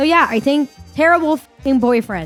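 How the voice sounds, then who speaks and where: Energetic woman's voice with lively intonation at a moderate pace, over background music. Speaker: streamer, content creator. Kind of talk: casual tier-list commentary to camera. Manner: crude, joking, energetic.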